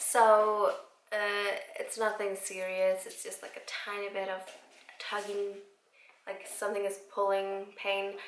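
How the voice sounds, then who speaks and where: The speaker talks in an Icelandic accent at a fairly slow pace, with monotone, flat intonation, big swings in loudness and long, frequent pauses. Audible room echo and noticeable background noise fill the recording. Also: woman, medium pitch for a woman. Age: 20s. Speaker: vlogger. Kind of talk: casual chat.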